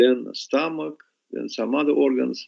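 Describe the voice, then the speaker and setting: A man with a Russian accent at a moderate pace. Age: 60s. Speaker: scientist. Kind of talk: interview. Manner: halting.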